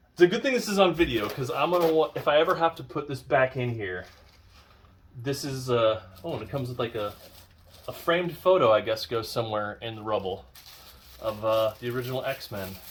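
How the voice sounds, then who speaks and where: A man at a medium pitch and fairly quick pace, with long, frequent pauses and noticeable background noise. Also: lively intonation. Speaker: YouTube unboxing creator. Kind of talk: casual unboxing commentary. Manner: whispering at times; hesitant, many fillers.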